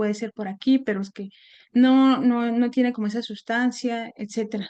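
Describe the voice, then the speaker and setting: Fairly high in pitch, this woman's voice has a dark, mellow tone. She speaks with a Mexican accent and fairly even intonation. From Mexico, Puebla. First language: Nahuatl (speaking Spanish). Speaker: seminar speaker. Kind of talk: academic talk. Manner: halting, many fillers.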